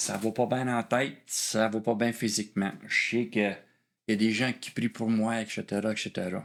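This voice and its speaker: Speaking at a fairly slow pace, a man with a medium pitch keeps his intonation fairly even on a very clean recording with a silent background. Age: 60s. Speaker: former police officer sharing testimony. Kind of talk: testimony. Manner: halting.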